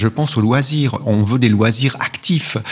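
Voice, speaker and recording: A man with a medium pitch and ordinary pitch variation speaks at a moderate pace. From Switzerland, Valais (Val d'Hérens). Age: 50s. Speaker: essayist and author. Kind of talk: interview. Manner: halting.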